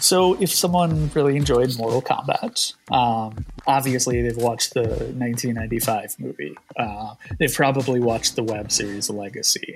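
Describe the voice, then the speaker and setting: Music plays behind a man speaking at a fairly slow pace. His voice sits at medium pitch with lively intonation. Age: 30s. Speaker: comic book publisher staff. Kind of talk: casual chat.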